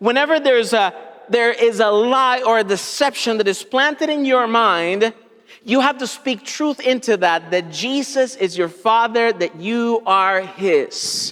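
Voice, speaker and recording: A man speaks at an extremely high pitch with ordinary pitch variation. His pace is fairly slow and his loudness very even. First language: Spanish. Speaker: pastor. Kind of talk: sermon.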